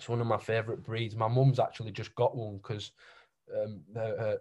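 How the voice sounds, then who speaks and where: The voice has a strong Yorkshire accent and sounds somewhat breathy. Intonation stays fairly even over a quiet background. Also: man. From Keighley, West Yorkshire, England. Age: 20s. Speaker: painter. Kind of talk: casual interview chat. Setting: in-person or call at mother-in-law's house in Reading. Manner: casual, rambling, informal.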